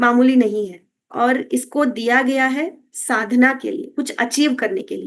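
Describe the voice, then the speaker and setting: The speaker has a Kannada accent and ordinary pitch variation. There are hardly any pauses. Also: woman, high pitch for a woman, big swings in loudness. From Karnataka, India. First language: Kannada (speaking Hindi). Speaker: wellness coach. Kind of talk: health talk. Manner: Hindi-English code-switching with filler hesitations.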